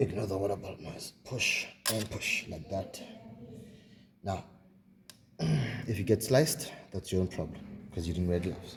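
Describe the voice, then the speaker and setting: A man speaks at a moderate pace with long, frequent pauses. His voice is somewhat breathy and fairly low in pitch. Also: ordinary pitch variation. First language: not English, a South African home language. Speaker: mechanic demonstrating engine work. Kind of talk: hands-on tutorial. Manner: casual, halting.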